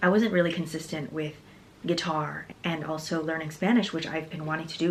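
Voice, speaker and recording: Soft-spoken, a woman talks at a fairly low pitch and fairly quick pace. Her intonation stays fairly even. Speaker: fitness vlogger. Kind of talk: casual monologue. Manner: halting.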